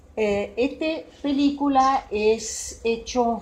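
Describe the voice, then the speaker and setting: This is a woman speaking. She has a Swiss accent. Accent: non-native Spanish, Swiss. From Switzerland. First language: Swiss German (speaking Spanish). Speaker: psychologist and psychodramatist. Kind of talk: talk to an audience. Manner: halting, with fillers.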